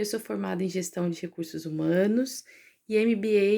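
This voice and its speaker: This woman speaks at a medium pitch with fairly even intonation. Her tone is dark and mellow. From Brazil, interior of São Paulo state. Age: 30s. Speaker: researcher and teacher. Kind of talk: personal story vlog. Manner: casual, conversational with fillers.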